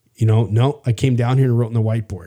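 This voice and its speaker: A man talks at a very fast pace with a Canadian prairie accent. His medium-pitched voice is somewhat breathy, with a dark, mellow tone. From Canada, Saskatchewan prairies. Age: 50s. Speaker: podcast host. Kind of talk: casual chat. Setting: studio.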